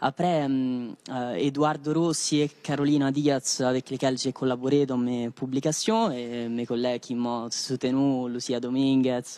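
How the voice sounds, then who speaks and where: A man with a non-native accent, medium pitch and a dark, mellow tone, fairly slow in pace with hardly any pauses and fairly even intonation. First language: not French (speaking French). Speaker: PhD student, contest winner. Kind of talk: post-win interview. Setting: live TV studio. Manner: halting, many fillers.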